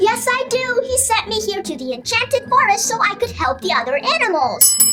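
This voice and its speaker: A cartoonish character voice at extremely high pitch and a fairly quick pace, over clear background noise. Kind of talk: children's puppet show dialogue. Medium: puppet.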